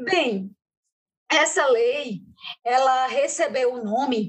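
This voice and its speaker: A woman's high-pitched voice at a very slow pace. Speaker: podcast co-host on public defense and penal system. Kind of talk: podcast discussion.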